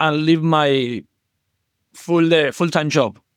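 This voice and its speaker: With a non-native accent, someone speaks at a very slow pace in a dry, close sound with no echo. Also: man. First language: not English. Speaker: caller, communication coach. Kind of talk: call-in conversation. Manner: halting.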